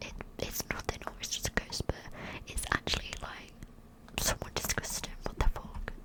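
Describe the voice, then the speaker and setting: A whispering woman at a moderate pace, with long, frequent pauses and noticeable background noise. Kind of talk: casual talk to camera, asides between stories. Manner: whispered, soft, close-up.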